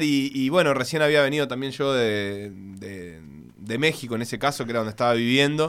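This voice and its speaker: A man's fairly high voice, bright and sharp in tone, on a very clean recording against a silent background. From Uruguay (raised), born in Buenos Aires. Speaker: sports journalist and author. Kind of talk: radio interview. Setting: radio studio.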